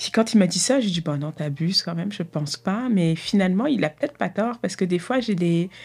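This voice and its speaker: A somewhat breathy woman speaks at a fairly quick pace with ordinary pitch variation. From Paris suburbs (Argenteuil), France. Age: 30s. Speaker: clinical nurse, community organizer. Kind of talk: personal testimony interview. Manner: hesitant, with laughter.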